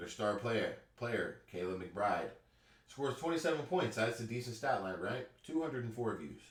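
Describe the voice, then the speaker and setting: At a moderate pace, a man with a medium pitch speaks in a somewhat breathy voice with lively intonation. Audible room echo surrounds him. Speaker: YouTube reaction commentator. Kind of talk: reaction commentary. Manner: animated.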